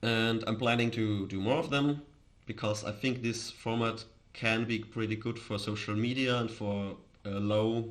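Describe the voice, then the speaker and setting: In an Austrian accent, a man talks at a moderate pace and medium pitch. His intonation is monotone and flat, and the room echo is audible. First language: German. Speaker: crypto streamer. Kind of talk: casual live stream chat. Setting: live stream. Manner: halting, with false starts.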